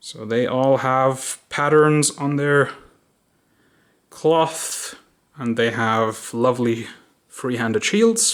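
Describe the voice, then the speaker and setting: This man talks at a medium pitch with ordinary pitch variation. He goes very slowly, with long, frequent pauses. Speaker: miniature wargaming hobbyist. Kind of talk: casual video walkthrough. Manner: hesitant, with fillers.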